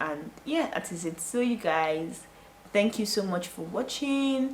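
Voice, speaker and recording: Against noticeable background noise, a woman with a Nigerian accent speaks at medium pitch with very wide pitch swings. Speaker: YouTuber. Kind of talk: vlog talking to camera. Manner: fast; casual, chatty.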